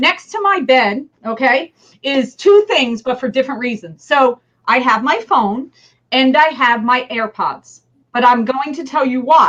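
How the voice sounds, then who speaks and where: Speaking at a moderate pace in a New Jersey accent, a woman uses a high pitch, an animated tone and lively intonation. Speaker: business leader. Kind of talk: interview.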